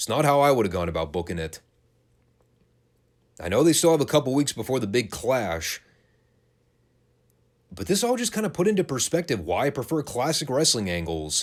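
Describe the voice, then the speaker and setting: In a very clean recording with a silent background, a man with vocal fry talks at a fairly quick pace, leaving long, frequent pauses and making very wide pitch swings. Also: medium pitch for a man. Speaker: wrestling podcast host. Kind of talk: podcast review commentary. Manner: opinionated, ranting.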